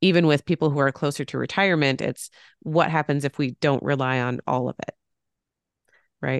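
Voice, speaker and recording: A woman speaks at a moderate pace with vocal fry, her pitch very deep and low and her intonation fairly even. The sound is dry and close with no echo, over a quiet background. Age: 30s. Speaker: podcast host and financial planner. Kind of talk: casual interview chat.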